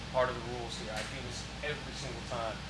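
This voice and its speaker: A man talks over noticeable background noise. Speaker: event host. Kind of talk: live event hosting.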